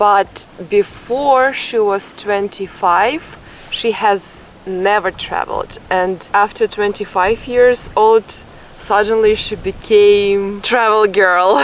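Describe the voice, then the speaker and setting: This woman talks at a very slow pace with a medium pitch. Noticeable background noise runs under her speech. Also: fairly even intonation. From Russia. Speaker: travel vlogger. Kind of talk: travel vlog narration and interview.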